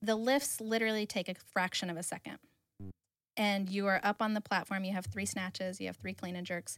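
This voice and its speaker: A woman speaks in a plain, everyday voice at a medium pitch with an American accent. Her pace is fairly quick, and the recording is very clean with a silent background. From US Midwest, Kansas. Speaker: former Olympic weightlifter. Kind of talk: interview.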